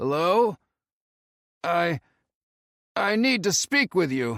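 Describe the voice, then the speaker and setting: A raspy, put-on character voice from a man, high in pitch and at a very slow pace. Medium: read story. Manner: soft, restrained, eerily polite.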